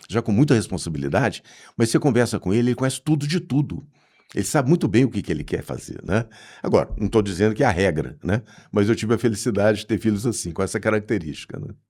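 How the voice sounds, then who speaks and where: Very fast speech from a man with a dark, mellow tone, fairly low pitch and lively intonation, on a very clean recording with a silent background. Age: 60s. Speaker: management consultant. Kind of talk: casual interview chat. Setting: studio.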